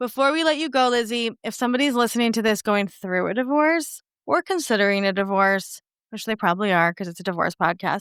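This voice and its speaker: In an American accent, the speaker races along at a very fast pace with lively intonation. The recording is very clean with a silent background and a dry, close sound with no echo. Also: woman, fairly high pitch for a woman. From New York. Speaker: podcast host. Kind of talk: interview.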